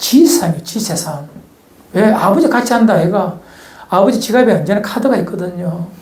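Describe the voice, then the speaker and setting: Over noticeable background noise and audible room echo, a man with a high pitch speaks at a fairly quick pace with lively intonation. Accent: strong Gyeongsang. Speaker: pastor. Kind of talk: sermon.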